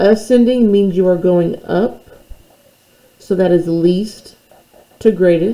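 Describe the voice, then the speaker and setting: Her pitch sits in the middle of a woman's range, with typical variation, in an ordinary speaking voice. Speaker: math teacher. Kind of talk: tutorial.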